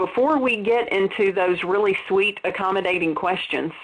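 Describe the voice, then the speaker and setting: A woman speaks with a slight Southern US accent. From US South. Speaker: dental practice consultant. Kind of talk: webinar presentation. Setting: webinar.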